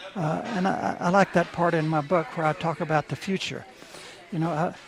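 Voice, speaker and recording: Speaking with a Texan accent over noticeable background noise, a man keeps fairly even intonation, high pitch, and a moderate pace. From Texas. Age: 80s+. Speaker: author and art dealer. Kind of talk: radio interview. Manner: halting, with many repetitions.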